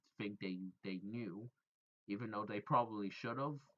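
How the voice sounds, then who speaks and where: A man with a bright, sharp tone at a moderate pace. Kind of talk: casual storytime talk to camera. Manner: rambling, stuttering.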